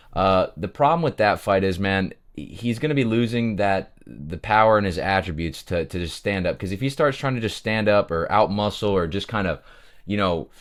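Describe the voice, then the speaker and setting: On a very clean recording with a silent background, a man with a fairly low pitch sounds energetic and uses lively intonation. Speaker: MMA prediction YouTuber. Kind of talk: sports betting breakdown monologue. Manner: fast; casual, energetic.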